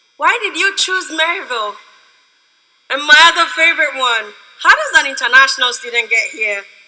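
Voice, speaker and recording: Speaking in a raised, projected voice with a Ghanaian accent, a woman uses an extremely high pitch with very wide pitch swings at a moderate pace. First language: a Ghanaian language. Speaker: student speaker. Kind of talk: commencement speech. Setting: stage with audience.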